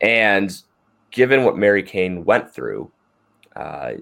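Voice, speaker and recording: With an American accent, a man speaks at a fairly low pitch on a very clean recording with a silent background. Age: 30s. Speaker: podcast host and amateur runner. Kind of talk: casual chat.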